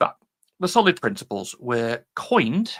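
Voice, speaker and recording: In a British accent, a man talks with very wide pitch swings. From UK. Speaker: software developer giving conference talk. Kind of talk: technical talk. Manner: casual, hesitant with fillers.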